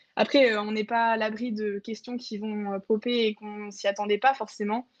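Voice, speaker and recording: Captured with a dry, close sound and no echo, a woman speaks at a moderate pace in a fairly high pitch with monotone, flat intonation. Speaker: former intern sharing experience. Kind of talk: webinar panel talk. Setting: online webinar.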